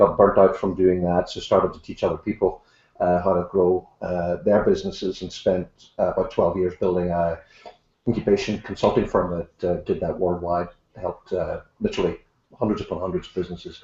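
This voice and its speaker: A man speaks at a fairly quick pace with a strong Irish accent. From Ireland. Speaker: author and leadership consultant. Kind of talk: interview.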